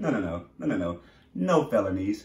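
A somewhat breathy voice moves at a fairly quick pace with audible room echo. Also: man. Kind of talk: comedic in-character rant to camera. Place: home room. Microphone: camera far.

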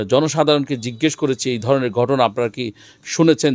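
A man's ordinary speaking voice, medium in pitch, with fairly even intonation. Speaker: field reporter for an Islamic foundation's channel. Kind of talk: on-site report and street interviews.

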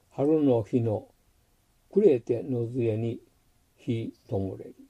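A man talks at a very slow pace in a dark, mellow tone. His voice is somewhat breathy and medium in pitch. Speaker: amateur haiku reader. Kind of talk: poetry reading.

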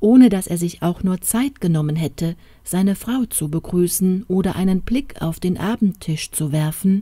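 An unforced reading voice carries the whole passage.

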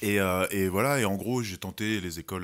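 Very deep, low-pitched man with ordinary pitch variation, on a very clean recording, silent background. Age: 30s. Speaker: actor and director. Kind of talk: interview.

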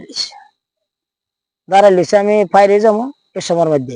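Dark and mellow in tone, this voice moves at a fast pace over a dry, close sound with no echo. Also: man.

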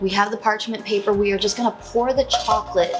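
A woman talks over loud music playing in the background. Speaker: home cooking vlogger. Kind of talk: casual vlog chat. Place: kitchen.

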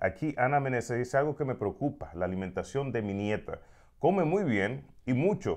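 Against a quiet background, a man with a medium-pitched voice talks at a fairly quick pace, his pitch swinging very widely. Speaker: radio host. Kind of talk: casual interview chat. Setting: studio. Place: studio. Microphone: lapel.

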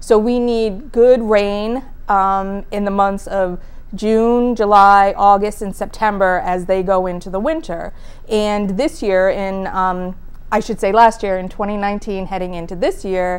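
A woman's fairly slow, fairly even-toned delivery. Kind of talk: interview answer. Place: studio.

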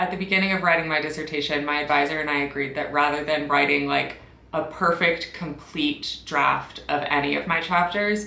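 In a room with audible echo, a woman talks at a fairly quick pace in a very deep, low pitch. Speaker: PhD student vlogger. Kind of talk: casual vlog chat. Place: home room.

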